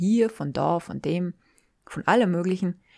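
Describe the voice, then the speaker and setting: In a very clean recording with a silent background, a woman speaks at a moderate pace. Her medium-pitched voice has a warm, dark, mellow tone. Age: 40s. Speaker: podcast host and life coach. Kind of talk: solo podcast monologue. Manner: warm, informal.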